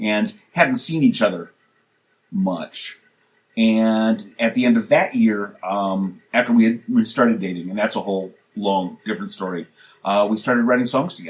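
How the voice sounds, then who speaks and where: Lively intonation from a man at a medium pitch and moderate pace. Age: 60s. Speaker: musician. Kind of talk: casual chat. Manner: halting.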